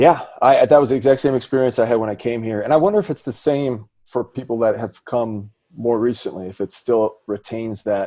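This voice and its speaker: A man with an American accent and a dark, mellow tone, medium in pitch, at a fairly quick pace with hardly any pauses and ordinary pitch variation. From US Midwest, Milwaukee. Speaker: podcast host and singer. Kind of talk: casual interview chat.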